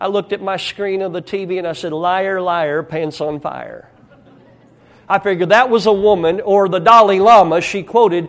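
This man talks at a moderate pace with a rural American accent, his high pitch showing ordinary variation. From rural United States. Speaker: pastor. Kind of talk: sermon. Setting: church. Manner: hesitant fillers.

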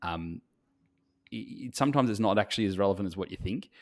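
Speaking at a very fast pace, a man uses an Australian accent with a fairly low pitch. The recording is very clean, with a silent background. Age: 30s. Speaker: photographer and podcast co-host. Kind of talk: casual chat.

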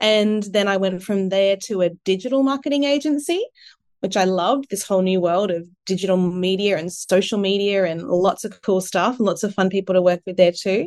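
With an Australian accent, a woman talks at a fairly quick pace with a medium pitch and ordinary pitch variation. The background is quiet. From Australia, Sunshine Coast, Queensland. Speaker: marketing and communications professional. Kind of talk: interview.

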